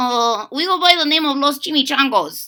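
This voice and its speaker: In a put-on character voice, a female-sounding speaker growls at a high pitch for a woman and keeps a moderate pace. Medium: read story.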